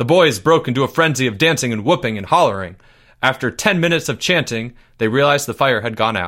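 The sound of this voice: Reading voice without strain or force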